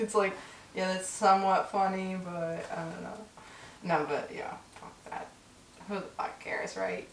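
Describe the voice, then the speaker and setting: Amid noticeable background noise and audible room echo, a woman speaks at a medium pitch and a moderate pace, in a monotone, flat intonation. Her loudness swings widely, and she takes long, frequent pauses. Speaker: podcast co-host. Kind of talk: casual chat.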